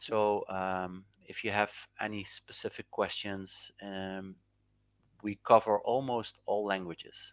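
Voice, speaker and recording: A man with a non-native accent, a very slow pace, and monotone, flat intonation on a very clean recording with a silent background. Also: fairly low pitch for a man. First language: Dutch. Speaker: crypto trading indicator developer. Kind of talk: casual chat.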